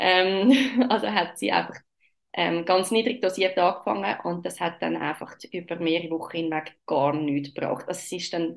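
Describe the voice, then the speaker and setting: A woman speaks at a moderate pace with a fairly low pitch and vocal fry. Her pitch varies in an ordinary way. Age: 30s. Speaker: mother sharing birth story. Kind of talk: personal testimony. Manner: hesitant, many filler sounds.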